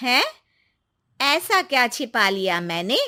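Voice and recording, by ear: A woman performs a put-on character voice, bright and sharp, at a fairly high pitch with big pitch swings and a slow pace. The recording is very clean, with a silent background.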